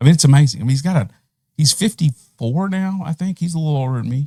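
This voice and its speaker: With an American accent, a man speaks with lively intonation and a dark, mellow tone. The recording is dry and close, with no echo. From Middle East. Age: 40s. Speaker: professional golfer. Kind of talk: casual chat. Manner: casual, halting.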